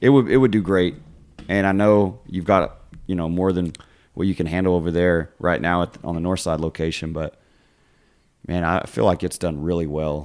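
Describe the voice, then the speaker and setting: A man with a very deep, low voice talks at a moderate pace with ordinary pitch variation. He leaves long, frequent pauses. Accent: West Texas. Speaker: podcast host, school coach. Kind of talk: casual chat.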